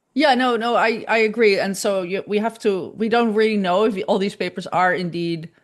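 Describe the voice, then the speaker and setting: A woman in a Dutch accent at medium pitch, with ordinary pitch variation, a moderate pace, hardly any pauses, and a quiet background. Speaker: image forensics scientist. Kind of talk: lecture Q&A discussion. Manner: halting.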